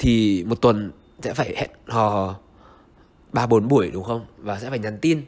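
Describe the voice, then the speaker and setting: At a fairly slow pace, a man talks with ordinary pitch variation and long, frequent pauses. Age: 20s. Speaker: vlogger. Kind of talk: vlog monologue. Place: home room. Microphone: handheld.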